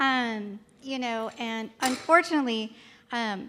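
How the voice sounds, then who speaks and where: The voice is a woman's. It sits fairly high and has a bright, sharp tone. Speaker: nursing student. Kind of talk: personal story talk. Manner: hesitant, many fillers.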